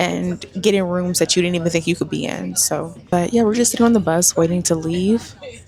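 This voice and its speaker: There is noticeable background noise. A woman speaks at a fairly low pitch. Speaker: lifestyle and hair influencer vlogger. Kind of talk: casual vlog to camera. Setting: on a bus, then at an event.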